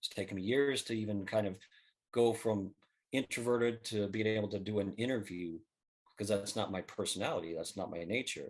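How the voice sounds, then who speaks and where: Soft-spoken and fairly low in pitch, a man talks at a fairly quick pace with fairly even intonation against a quiet background. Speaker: book co-author. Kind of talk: interview. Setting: podcast.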